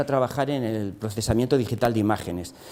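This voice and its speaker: A man speaks over noticeable background noise. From Spain. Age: 60s. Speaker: engineer and entrepreneur. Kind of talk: lecture. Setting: classroom masterclass for teachers. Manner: halting, many fillers and repetitions.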